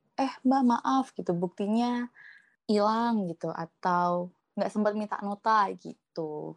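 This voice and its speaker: A woman's medium-pitched voice at a very slow pace, dry and close with no echo, over a quiet background. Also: ordinary pitch variation. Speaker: student treasurer. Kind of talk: casual interview.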